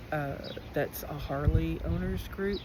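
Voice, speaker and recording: Audible room echo surrounds a woman who talks very slowly. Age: 50s. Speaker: school teacher and motorcycle traveler. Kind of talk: personal vlog. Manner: casual, hesitant with fillers.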